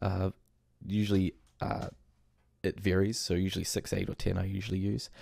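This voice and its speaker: With a New Zealand accent, a man speaks at a fairly quick pace yet with long, frequent pauses, in a very deep, low pitch and a dark, mellow tone, his intonation monotone and flat and his loudness very even. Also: very clean recording, silent background. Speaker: game development tutorial creator. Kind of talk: tutorial. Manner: casual with frequent fillers.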